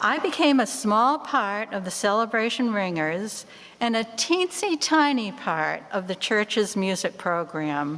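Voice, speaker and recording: Speaking with a Boston accent, a woman takes a fairly slow pace and uses very wide pitch swings. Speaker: church member, bell choir ringer. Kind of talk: stewardship talk in church.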